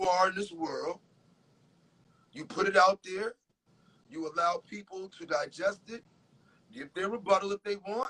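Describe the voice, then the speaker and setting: In a raised, projected voice with a bright, sharp tone, a man with a New York accent speaks at high pitch and a moderate pace, his loudness swinging widely and his pitch varying in an ordinary way, with long, frequent pauses and a dry, close sound free of echo. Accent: New York tri-state urban American. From Connecticut, USA. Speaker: R&B soul singer. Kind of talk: interview answer.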